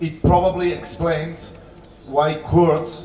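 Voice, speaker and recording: Noticeable background noise accompanies a man who speaks very slowly with a Catalan accent. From Catalonia. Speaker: political speaker. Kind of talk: conference speech. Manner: halting.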